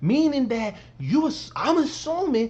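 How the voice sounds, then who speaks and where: A man is speaking. His tone is dark and mellow. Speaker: reaction video creator. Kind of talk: casual commentary. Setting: at home late at night.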